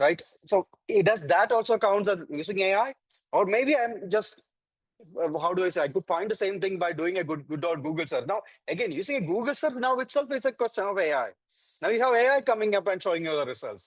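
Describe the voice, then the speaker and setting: A man speaks at a fairly quick pace with a high pitch and lively intonation, in a Keralan accent. The sound is dry and close, with no echo. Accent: Indian English, Malayali. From India, Kerala. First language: Malayalam. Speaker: AI ethics panelist. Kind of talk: panel discussion. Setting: virtual conference. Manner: halting, many fillers.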